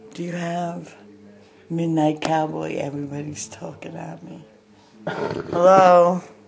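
A woman speaks at a very slow pace, and her loudness swings widely. Light background noise can be heard. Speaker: caller. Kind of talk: phone call request, half singing. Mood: cheerful, playful. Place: home room. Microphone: phone near.

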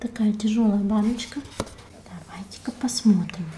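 Soft-spoken and gentle in tone, a woman with a fairly high-pitched voice talks at a very slow pace over light background noise. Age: 30s. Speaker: beauty vlogger. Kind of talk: ASMR haul, whispered unboxing of cosmetics. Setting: home, close to a sensitive microphone. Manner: soft, hushed, slow and intimate; gentle, unhurried, musing aloud while rustling packaging. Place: home room.

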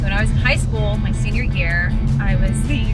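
A woman is speaking. Loud music plays in the background. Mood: cheerful, laughing. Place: car.

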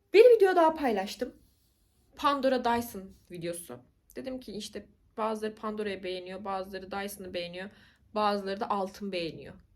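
A woman speaks at a fairly quick pace and medium pitch, her tone animated. Her intonation is lively, and her loudness swings widely. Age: 20s. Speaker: YouTuber. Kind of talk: casual vlog monologue.

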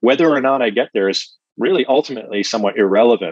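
Against a quiet background, a man talks at a moderate pace with a dry sound and no echo. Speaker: coach, interview guest. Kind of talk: interview answer. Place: home room. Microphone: earbuds.

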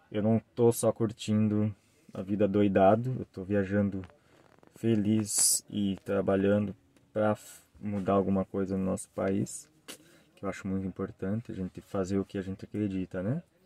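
Speaking at a moderate pace with long, frequent pauses, a man with a fairly low pitch and a dark, mellow tone uses monotone, flat intonation in a dry sound with no echo. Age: 30s. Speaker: travel vlogger. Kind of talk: vlog introduction to camera. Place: car. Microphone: phone near.

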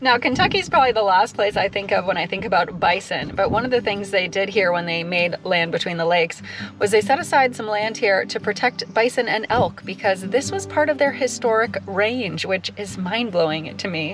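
The sound is dry with no echo, though noticeable background noise is present. A woman speaks at a fairly quick pace with hardly any pauses and ordinary pitch variation. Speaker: nature vlogger. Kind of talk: casual vlog chat. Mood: enthusiastic, excited.

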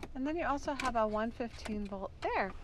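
A woman is heard with light background noise. The sound is dry, with no echo. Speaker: car dealership salesperson. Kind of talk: product walkaround commentary. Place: car. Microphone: phone near.

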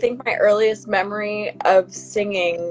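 Faint music plays in the background. The speaker talks at a fairly slow pace. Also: woman. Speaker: guest. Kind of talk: interview answer. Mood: relaxed, cheerful. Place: home room. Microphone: video call.

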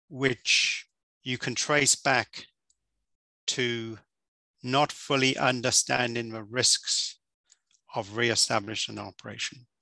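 Vocal fry colors a bright, sharp tone with fairly even intonation, recorded dry with no echo over a quiet background. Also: man. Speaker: course instructor. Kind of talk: lecture. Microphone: headset.

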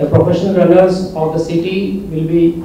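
A man with a high voice speaks at a moderate pace in a flat monotone, with audible room echo and light background noise. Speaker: guest. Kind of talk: press conference statement. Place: hall.

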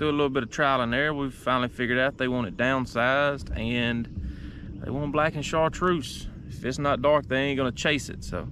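Talking at a fairly quick pace with hardly any pauses, a man keeps his intonation fairly even over light background noise in a dry sound with no echo. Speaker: fishing vlogger. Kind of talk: casual vlog chat. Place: boat. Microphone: phone near.

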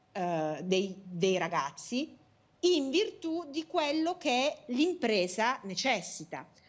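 Very wide pitch swings run through this woman's high voice. She talks at a very slow pace. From southern Italy, Taranto. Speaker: national politician. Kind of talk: political interview. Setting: video call. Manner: hesitant, many fillers. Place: home room. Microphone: earbuds.

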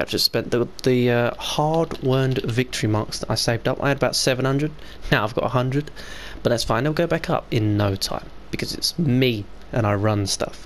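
This man has a British accent and a medium pitch. He talks at a moderate pace with ordinary pitch variation. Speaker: gaming YouTuber. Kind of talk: casual gameplay commentary.

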